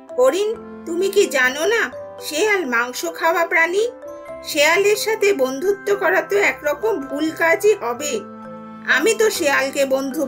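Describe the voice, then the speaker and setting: Clear music plays behind a woman doing a cartoonish character voice. She speaks at a moderate pace. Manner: stern, warning.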